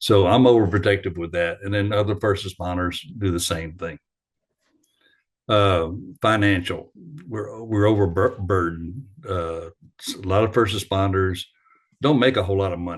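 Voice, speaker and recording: A man speaks at a moderate pace in a fairly low, somewhat breathy voice with fairly even intonation. He leaves long, frequent pauses against a quiet background. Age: 60s. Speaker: retired firefighter. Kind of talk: lecture. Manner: halting.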